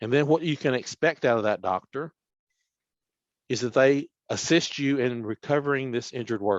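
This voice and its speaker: A man talks with a Tennessee accent. His speech has long, frequent pauses. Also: medium pitch for a man, ordinary pitch variation, moderate pace. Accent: Southern US (Tennessee). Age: 60s. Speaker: workers' compensation official. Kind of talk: webinar presentation. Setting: online webinar.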